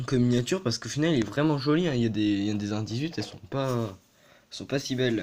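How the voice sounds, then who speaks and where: A man with a medium pitch talks fairly quickly, his pitch varying in an ordinary way. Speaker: toy car collector youtuber. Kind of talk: casual video presentation. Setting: bedroom. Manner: fast; hesitant, many fillers.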